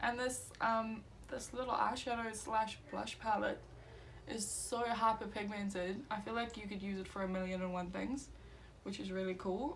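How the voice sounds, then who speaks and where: Her voice is fairly high, with ordinary pitch variation and a moderate pace. Noticeable background noise and audible room echo surround it. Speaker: beauty YouTuber. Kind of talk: makeup tutorial. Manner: casual, filler-heavy.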